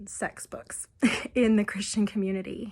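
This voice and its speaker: At a moderate pace, a woman speaks in a somewhat breathy voice with monotone, flat intonation. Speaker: abuse recovery helper. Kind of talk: casual talk to camera.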